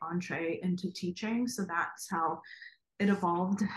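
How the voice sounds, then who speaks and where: A woman with a medium pitch and fairly even intonation talks at a moderate pace, her voice somewhat breathy. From Ukraine, Kharkiv; immigrated to US as a child. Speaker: graphic designer and educator. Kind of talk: casual interview.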